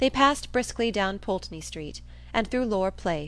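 The speaker reads in a natural voice, the intonation lively.

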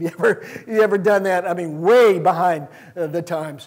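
Against a quiet background, a man speaks at a high pitch and a moderate pace, with ordinary pitch variation. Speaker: church preacher. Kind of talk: sermon. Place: church. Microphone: handheld.

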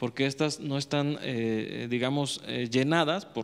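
This is a man speaking. His pace is fairly slow. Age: 30s. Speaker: electoral institute councillor. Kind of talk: panel discussion. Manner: halting, many repetitions. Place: studio. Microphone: handheld.

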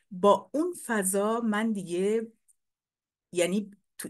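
The background stays quiet while a woman talks. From Iran, Abadan; Iran. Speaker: painter and poet; poet. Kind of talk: lecture. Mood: warm, reflective. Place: home room. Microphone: webcam.

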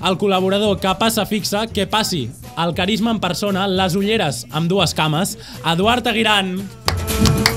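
A high-pitched man at a moderate pace, with ordinary pitch variation and clear music in the background. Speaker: podcast host. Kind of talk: show hosting banter. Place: studio. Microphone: studio mic.

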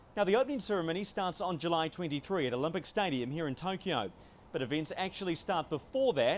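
A man with a New Zealand accent speaks at a high pitch and moderate pace with lively intonation. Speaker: sports reporter. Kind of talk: news explainer to camera. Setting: on location in Tokyo. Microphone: handheld.

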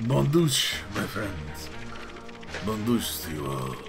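Over clear background music, a man uses a put-on character voice. His pitch is fairly low, and he speaks at a fairly slow pace. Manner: exaggerated, playful.

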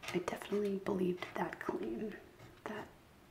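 Soft-spoken whispering comes at a moderate pace over noticeable background noise. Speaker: craft vlogger. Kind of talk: casual vlog chat. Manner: soft ASMR whisper, chatty.

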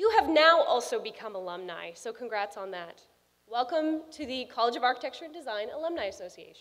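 A woman at a high pitch and a fairly quick pace, with very wide pitch swings and big shifts in loudness. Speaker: alumna and architect giving a speech; speaker. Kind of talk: commencement speech. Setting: stage with audience. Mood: warm, encouraging. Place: hall. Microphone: podium.

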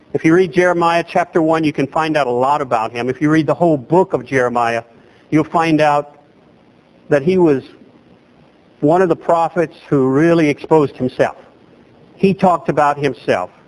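Speaking with an American accent, a man uses a fairly high pitch and ordinary pitch variation at a moderate pace, with long, frequent pauses and a dry, close sound with no echo. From southwest Louisiana (Lake Charles area). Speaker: pastor. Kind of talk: sermon. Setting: church.

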